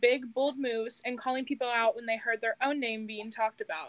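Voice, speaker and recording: At a fairly quick pace, a woman talks in a high pitch with ordinary pitch variation. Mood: playful, laughing. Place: home room. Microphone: video call.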